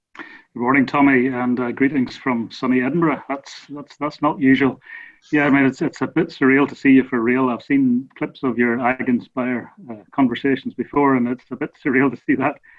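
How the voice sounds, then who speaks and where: Using a Northern Irish accent, a man talks at a moderate pace. His medium pitch stays in a monotone, flat intonation. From Northern Ireland. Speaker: research scientist. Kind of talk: casual interview.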